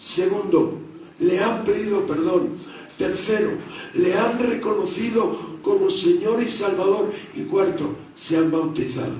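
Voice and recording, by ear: Strong room echo surrounds a slightly mellow tone that moves at a fairly slow pace with few pauses and ordinary pitch variation. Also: man, high pitch for a man.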